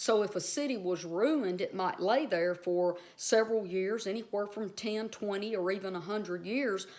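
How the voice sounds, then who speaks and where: A woman with a strong Southern US accent speaks at medium pitch. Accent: strong Southern US drawl. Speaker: Bible teacher. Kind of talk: casual video teaching. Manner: conversational, filler-heavy.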